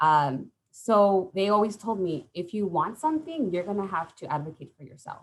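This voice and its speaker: The voice moves at a moderate pace with hardly any pauses. Its pitch swings very widely. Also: woman, medium pitch for a woman. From California (Santa Maria), Mexican-American. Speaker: college program coordinator. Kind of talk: panel talk, personal story. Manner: hesitant, many fillers.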